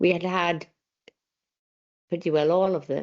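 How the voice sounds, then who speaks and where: A woman's voice in a Scottish Highland accent, at a moderate pace with fairly even intonation. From Isle of Skye, Scotland. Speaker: folklorist and lecturer. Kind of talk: lecture.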